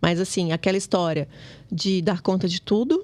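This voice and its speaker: An ordinary speaking voice with ordinary pitch variation at a fairly quick pace. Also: woman. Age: 20s. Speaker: podcast co-host. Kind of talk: casual chat.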